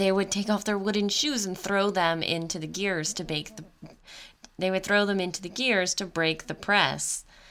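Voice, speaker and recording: At a moderate pace, a woman with an unremarkable speaking voice and medium pitch talks with fairly even intonation. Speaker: podcast host. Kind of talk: casual chat.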